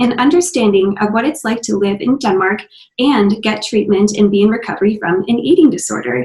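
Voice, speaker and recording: A woman's somewhat breathy voice, fairly high in pitch, with an Upper Midwest accent. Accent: Upper Midwest American. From US Midwest, Minnesota. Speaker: podcast host. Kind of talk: interview.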